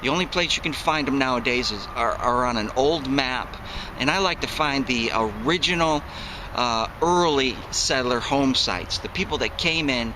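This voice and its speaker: Through noticeable background noise, a man with an American accent talks at a fairly high pitch and a moderate pace with ordinary pitch variation. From upstate New York, Syracuse. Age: 40s. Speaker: metal detecting hobbyist, military retiree. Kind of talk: casual vlog talk to camera. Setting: outdoors in the woods.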